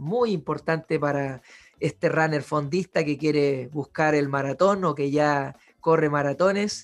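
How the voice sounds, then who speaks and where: The pace here is fairly slow. It is a plain, everyday voice with ordinary pitch variation. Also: man. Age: 30s. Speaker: podcast host and physiotherapist. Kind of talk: casual interview.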